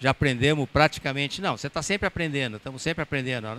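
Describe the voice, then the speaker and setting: On a very clean recording with a silent background and a dry, close sound with no echo, a man speaks very fast in a fairly high voice with a bright, sharp tone. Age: 70s. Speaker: sailor and talk speaker. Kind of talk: public talk with audience Q&A. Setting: stage with audience at boat show.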